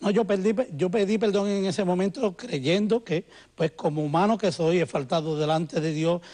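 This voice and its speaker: A man's high-pitched voice with a dark, mellow tone, very even loudness, ordinary pitch variation and a moderate pace. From Puerto Rico. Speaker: musician, former church member. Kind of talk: TV interview testimony.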